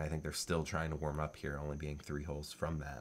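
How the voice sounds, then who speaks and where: A man talks at a very fast pace in a very deep, low pitch. His intonation is monotone and flat. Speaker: disc golf commentator. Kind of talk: sports commentary over replay footage. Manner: casual, conversational.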